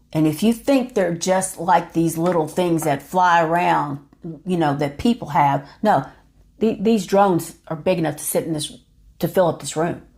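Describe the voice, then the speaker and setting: Here a woman speaks at a fairly slow pace. Her pitch variation is ordinary. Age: 50s. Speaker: YouTuber. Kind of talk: monologue to camera. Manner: animated.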